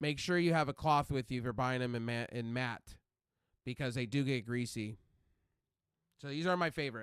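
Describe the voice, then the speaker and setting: Here a man with a medium pitch speaks in an animated tone with ordinary pitch variation. His pace is fairly quick, broken by long, frequent pauses. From California desert. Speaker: game streamer. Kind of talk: casual live stream chat. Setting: live stream. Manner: loud.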